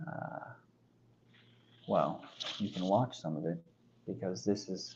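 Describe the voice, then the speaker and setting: A man's very deep, low voice with vocal fry, lively intonation and a very slow pace. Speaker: content creator practicing on camera. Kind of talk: casual solo vlog, practicing delivery.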